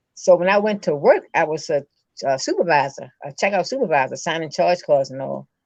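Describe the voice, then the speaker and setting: With an American accent and an ordinary speaking voice, a woman at fairly low pitch talks at a fairly quick pace with lively intonation. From Baltimore, Maryland. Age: 60s. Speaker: person living with MS. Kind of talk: testimony.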